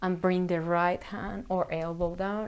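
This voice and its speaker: A calm tone at a very slow pace. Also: woman. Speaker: yoga instructor. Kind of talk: guided yoga class. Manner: calm, slow instructions; halting.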